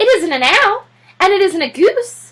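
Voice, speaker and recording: Using a put-on character voice, a woman speaks at a moderate pace in an extremely high, squeaky pitch with very wide pitch swings. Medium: read story. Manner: flustered, exclamatory.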